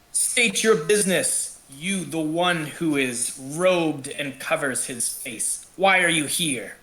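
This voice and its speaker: Putting on a growling character voice at a fairly high pitch, a man speaks at a fairly slow pace with hardly any pauses. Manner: snarling, threatening.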